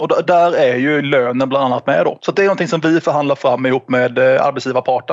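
A man talks fairly quickly in a fairly high pitch, with noticeable background noise present. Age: 30s. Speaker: trade union representative. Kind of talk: explanatory interview.

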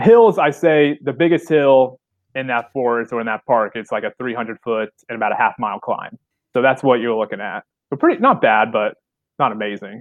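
A man with an American accent speaks at a moderate pace in a medium pitch. He has a normal speaking voice with ordinary pitch variation. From southern Illinois. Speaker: obstacle course racer. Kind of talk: casual chat. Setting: office, remote call.

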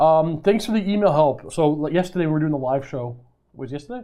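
Pitched high, a man talks at a fairly quick pace with ordinary pitch variation. The recording is very clean, with a silent background. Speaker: live streamer. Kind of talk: casual chat. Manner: fast; halting.

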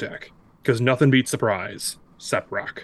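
A man speaks at a fairly quick pace in a plain, everyday voice of medium pitch. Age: 30s. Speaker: card game player. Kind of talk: casual chat.

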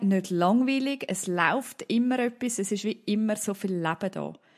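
A woman's medium-pitched voice with a Swiss accent. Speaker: mother of four. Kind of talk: casual chat.

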